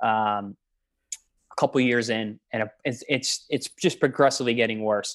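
In a dry, close sound with no echo against a quiet background, a man has a plain, everyday voice at medium pitch, speaking at a moderate pace with fairly even intonation. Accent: American. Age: 30s. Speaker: professional boxer and nutritionist. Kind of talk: podcast interview. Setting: video call.

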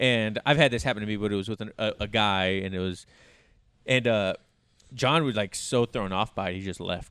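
Using a normal speaking voice, a man speaks fairly quickly at a fairly low pitch with ordinary pitch variation. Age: 30s. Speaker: podcast host. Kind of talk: casual chat.

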